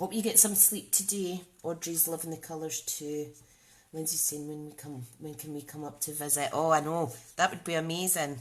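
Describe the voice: Someone speaks at a moderate pace in a Scottish accent, with fairly even intonation. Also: woman, low pitch for a woman.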